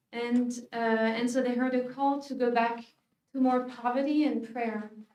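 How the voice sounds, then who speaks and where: Audible room echo surrounds a woman's high-pitched voice. She speaks with a French accent in a monotone, flat intonation. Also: moderate pace. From France, Paris. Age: 40s. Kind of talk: conference talk. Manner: hesitant with many fillers.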